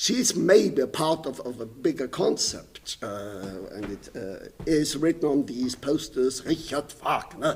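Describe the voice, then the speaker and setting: A man's fairly high voice in a German accent, with vocal fry, lively intonation, big swings in loudness and a fairly slow pace. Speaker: painter and composer. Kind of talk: lecture. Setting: stage with audience.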